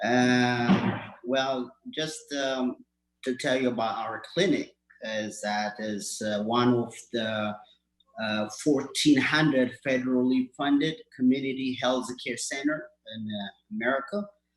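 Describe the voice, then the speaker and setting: Speaking with an Ethiopian accent, a man talks at a fairly slow pace in a medium pitch with ordinary pitch variation. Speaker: community health clinic worker. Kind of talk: award acceptance speech. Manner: halting, many fillers.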